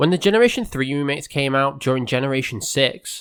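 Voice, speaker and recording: A man speaks at a fairly quick pace with lively intonation in a very clean recording with a silent background. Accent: English. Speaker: gaming YouTuber. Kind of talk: scripted video essay.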